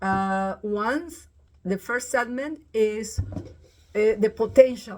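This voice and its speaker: A woman's somewhat breathy, fairly high voice, ordinary pitch variation, and a very slow pace. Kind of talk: informal video message. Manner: halting, many fillers.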